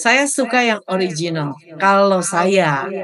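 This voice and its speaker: A woman with a medium pitch and ordinary pitch variation speaks in a normal speaking voice. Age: 60s. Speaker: webinar moderator and cooking instructor. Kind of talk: webinar Q&A.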